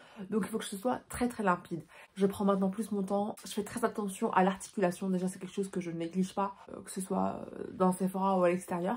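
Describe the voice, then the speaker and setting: At a fairly quick pace, a woman speaks at medium pitch in a somewhat breathy, monotone voice with flat intonation and big swings in loudness. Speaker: beauty sales advisor and vlogger. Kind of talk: casual vlog talk to camera. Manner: very fast; careful articulation.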